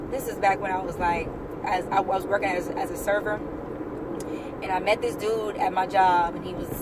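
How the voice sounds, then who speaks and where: Noticeable background noise runs behind a woman talking at a moderate pace. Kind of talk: casual talk to camera. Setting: in a car.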